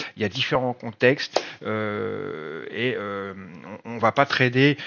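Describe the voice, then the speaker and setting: The man has an unremarkable speaking voice with ordinary pitch variation. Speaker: trading trainer and nurse. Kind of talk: online presentation of a training course. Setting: video call.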